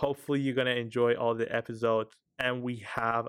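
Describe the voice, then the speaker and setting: A man speaks at a medium pitch with an Iranian accent. His intonation is monotone and flat, and his pace is fairly quick. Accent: Iranian (Persian) accent in English. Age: 20s. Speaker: podcast host. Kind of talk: solo monologue commentary. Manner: hesitant, frequent fillers.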